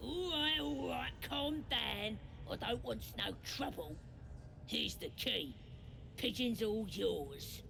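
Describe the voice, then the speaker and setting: A put-on character voice speaks at a fairly slow pace with long, frequent pauses. Loud background noise runs underneath. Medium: video game. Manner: coarse, rough grammar.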